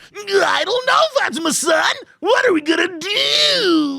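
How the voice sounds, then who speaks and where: An extremely high-pitched put-on character voice at a fairly slow pace. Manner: unsure, worried.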